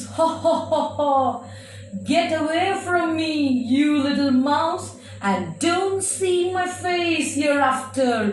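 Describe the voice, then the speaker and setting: In a cartoonish character voice, a woman speaks very slowly at a high pitch, with slight echo. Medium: puppet.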